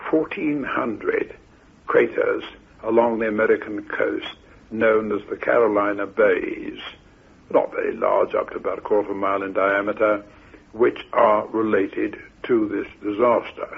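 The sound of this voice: Speaking at a fairly slow pace, a man has a fairly low pitch, fairly even intonation, vocal fry and a slightly husky edge.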